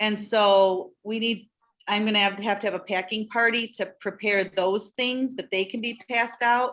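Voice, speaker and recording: Captured on a very clean recording with a silent background, a woman with a plain, everyday voice speaks at a moderate pace and medium pitch with fairly even intonation. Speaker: church children's ministry organizer. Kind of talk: informational meeting.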